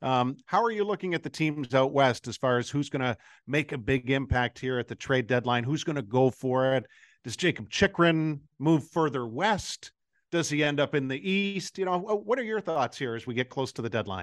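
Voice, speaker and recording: A plain, everyday voice moves at a moderate pace, the sound dry and close with no echo over a quiet background. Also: man, fairly high pitch for a man, lively intonation. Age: 50s. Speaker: radio host. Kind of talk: interview.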